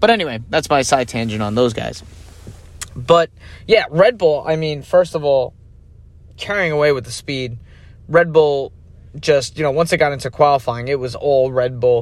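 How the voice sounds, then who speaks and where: Pitched fairly high, a man with an American accent talks at a moderate pace with ordinary pitch variation and long, frequent pauses. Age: 30s. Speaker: podcast host. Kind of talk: solo podcast commentary. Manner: casual, conversational.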